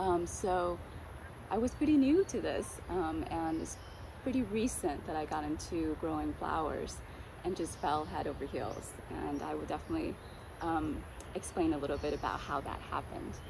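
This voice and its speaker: At a moderate pace and in a relaxed tone, the speaker talks with an American accent while room echo is audible. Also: woman. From Vietnam (Ho Chi Minh City), then Southern California from age eleven. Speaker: flower grower and homesteader. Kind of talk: casual personal introduction vlog. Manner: frequent filler words, relaxed.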